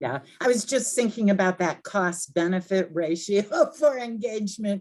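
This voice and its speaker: Speaking at a moderate pace with lively intonation, this is a plain, everyday voice. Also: woman, medium pitch for a woman. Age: 60s. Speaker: event host. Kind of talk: announcements and Q&A.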